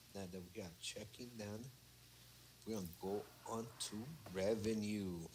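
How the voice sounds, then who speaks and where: A man talks at a moderate pace with fairly even intonation, leaving long, frequent pauses. Room echo can be heard. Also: fairly low pitch for a man. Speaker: accounting student. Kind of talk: casual study group walkthrough.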